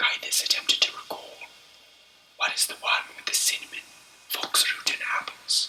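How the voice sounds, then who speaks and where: A man whispers at a moderate pace, with big swings in loudness and long, frequent pauses. Noticeable background noise runs underneath. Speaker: author reading his own book. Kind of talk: ASMR audiobook read-through of fantasy novel. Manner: whispered, soft.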